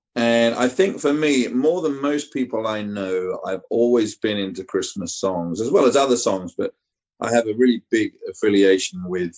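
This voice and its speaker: This man talks at a moderate pace with a slight East Anglian accent and hardly any pauses. His pitch is medium and his intonation is lively. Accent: generic English, slight East Anglian. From East Anglia, England. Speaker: singer-songwriter. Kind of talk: radio interview.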